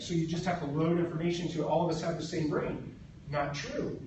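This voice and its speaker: This man talks very fast in an American accent, his voice pitched high for a man. There is audible room echo and noticeable background noise. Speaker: Jesuit priest and nonprofit leader. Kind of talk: conference presentation. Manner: casual, with fillers.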